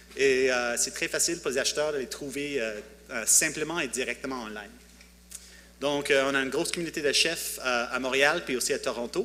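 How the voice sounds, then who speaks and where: A man speaks at a fairly quick pace in a fairly high voice. His pitch moves in an ordinary way. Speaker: tech startup founder. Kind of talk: conference talk. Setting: conference with audience. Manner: halting, many hesitations.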